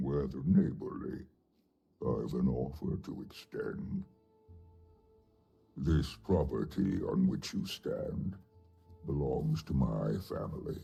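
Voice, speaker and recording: Using a put-on character voice, a man speaks at a fairly slow pace in a very deep, low pitch while faint music plays in the background. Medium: video game. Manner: measured, formal.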